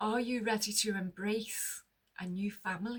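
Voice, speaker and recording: A woman's voice is somewhat breathy. Her intonation stays fairly even. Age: 60s. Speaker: lifestyle vlogger. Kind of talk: casual monologue to camera. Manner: conversational.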